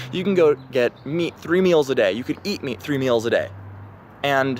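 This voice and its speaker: There is noticeable background noise as a man with an American accent speaks with lively intonation. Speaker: vlogger. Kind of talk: casual monologue. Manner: hesitant, many fillers.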